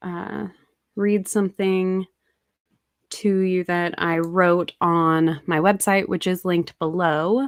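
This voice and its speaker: Quiet and very slow, a woman speaks at a fairly low pitch in a very clean recording with a silent background and a dry, close sound with no echo. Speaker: anti-MLM content creator. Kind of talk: casual livestream talk. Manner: speaking quietly; halting.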